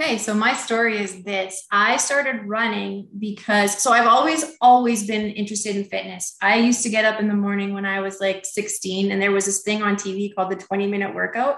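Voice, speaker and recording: A woman with an unremarkable speaking voice talks at a fairly quick pace with hardly any pauses. Her intonation is fairly even. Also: medium pitch for a woman. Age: 50s. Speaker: chef and yoga instructor. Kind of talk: interview.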